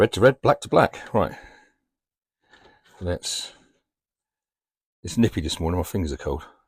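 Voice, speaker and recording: With a British accent, a man speaks at a moderate pace in a dry, close sound with no echo, leaving long, frequent pauses. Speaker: van life vlogger. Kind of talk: casual vlog narration. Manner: casual, chatty.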